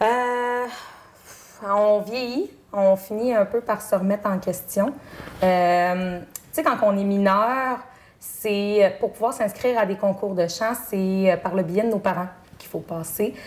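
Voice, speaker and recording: Amid noticeable background noise, a woman with a medium-pitched voice speaks very slowly, with ordinary pitch variation and long, frequent pauses. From Quebec, Chaudière-Appalaches (Bellechasse). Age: 30s. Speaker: singing contestant. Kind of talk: interview. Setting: TV studio. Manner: halting, many fillers.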